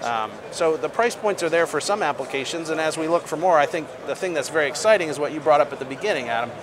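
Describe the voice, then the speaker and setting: A man with an American accent speaks at a very fast pace with hardly any pauses. His pitch is fairly high with ordinary variation, over noticeable background noise. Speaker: energy company executive. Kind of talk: interview. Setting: studio.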